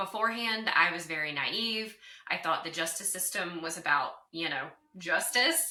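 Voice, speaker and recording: Very wide pitch swings at a fairly slow pace. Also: woman. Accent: slight Southern US. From US South, North Carolina. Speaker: divorce recovery coach. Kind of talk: interview.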